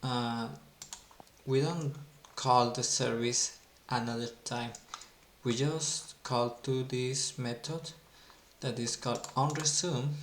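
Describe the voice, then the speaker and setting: Very slow speech in a non-native accent, with long, frequent pauses and noticeable background noise. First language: not English. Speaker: software developer teaching Android. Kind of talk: coding tutorial. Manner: halting, repeats words.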